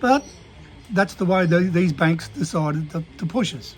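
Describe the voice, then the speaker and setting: Over noticeable background noise, a man with an Australian accent speaks fairly slowly in a high voice. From Queensland, Australia. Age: 70s. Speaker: small business owner and vlogger. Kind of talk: casual monologue rant. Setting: at a desk. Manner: halting, many fillers and restarts.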